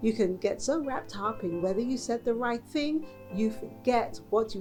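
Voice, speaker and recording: Music plays behind a woman speaking at a moderate pace. Her medium pitch swings very widely. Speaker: news presenter. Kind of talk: news headlines presentation.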